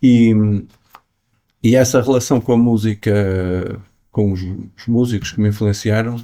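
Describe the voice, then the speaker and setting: Over a silent background in a very clean recording, a man speaks at a medium pitch in a dark, mellow tone with monotone, flat intonation. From northern Portugal, Matosinhos near Porto. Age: 60s. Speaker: jazz pianist. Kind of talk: interview. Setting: jazz club. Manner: hesitant, many repetitions and fillers.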